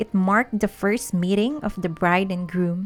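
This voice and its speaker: A non-native accent shapes the speech. It unfolds at a fairly slow pace. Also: woman. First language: not English. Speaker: history channel narrator. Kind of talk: history documentary narration.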